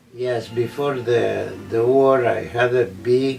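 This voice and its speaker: Over noticeable background noise, a man talks at a very slow pace, medium in pitch and monotone, with flat intonation. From Romania. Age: 80s+. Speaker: Holocaust survivor. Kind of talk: interview answer.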